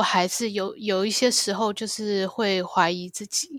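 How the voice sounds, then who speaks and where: With a Taiwanese accent, a woman speaks very slowly at a fairly high pitch on a very clean recording with a silent background. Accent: Taiwanese Mandarin. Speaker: pilot. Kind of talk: interview.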